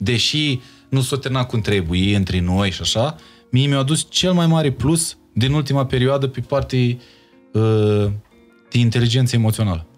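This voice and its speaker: At a moderate pace, a man speaks while faint music plays behind him. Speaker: singer. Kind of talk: podcast interview answer. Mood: reflective, personal. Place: studio. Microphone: studio mic.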